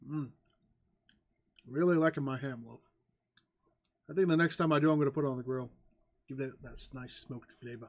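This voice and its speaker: The delivery is fairly quick, broken by long, frequent pauses. Loudness swings widely while the intonation stays fairly even. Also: man, fairly high pitch for a man. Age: 30s. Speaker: gaming streamer. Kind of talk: casual livestream chat. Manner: halting.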